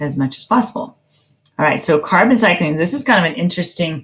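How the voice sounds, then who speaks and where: A somewhat breathy woman's voice with very wide pitch swings. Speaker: teacher. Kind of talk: lecture. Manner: halting, many fillers.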